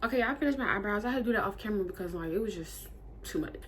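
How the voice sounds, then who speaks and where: Lively intonation from a woman of medium pitch, very fast, with audible room echo. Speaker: beauty vlogger. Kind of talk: casual storytime while doing makeup. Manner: animated.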